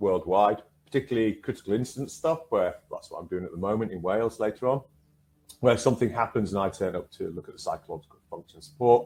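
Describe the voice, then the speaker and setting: In a northern English accent, a man talks at a very fast pace with a medium pitch. His loudness swings widely, while his pitch varies in an ordinary way. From northern England. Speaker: counsellor and trainer. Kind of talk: online workshop presentation.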